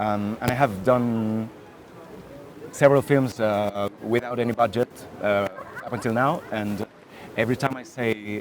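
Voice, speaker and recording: A man talks at a fairly slow pace, leaving long, frequent pauses. His intonation is fairly even, and background noise is noticeable. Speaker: filmmaker. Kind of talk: masterclass talk. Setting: stage with audience. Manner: halting, many fillers.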